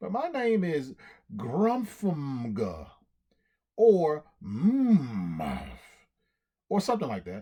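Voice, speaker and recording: A put-on character voice at middle pitch, very slow, with long and frequent pauses. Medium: read story. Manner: innocent, puzzled.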